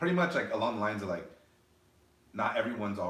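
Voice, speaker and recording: A man with an American accent, with noticeable background noise and audible room echo. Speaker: podcast co-host. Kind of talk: casual chat.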